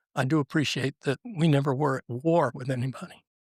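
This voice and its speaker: A man with an American accent and an unremarkable speaking voice, fairly high in pitch, at a moderate pace with fairly even intonation, on a very clean recording with a silent background and a dry, close sound with no echo. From Virginia, US. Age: 60s. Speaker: military veteran and speaker. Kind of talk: interview storytelling. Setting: studio with live brunch audience.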